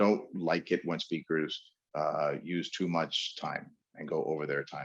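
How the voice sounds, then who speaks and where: Fairly even intonation with an American accent. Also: man. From New York. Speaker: webinar host and speaking coach. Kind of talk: webinar lecture. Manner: fast.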